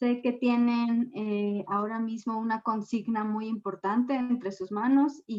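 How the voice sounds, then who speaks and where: In a Mexican accent, a woman speaks fairly slowly with a fairly high pitch and fairly even intonation. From Mexico. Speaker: gender and energy expert. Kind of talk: lecture.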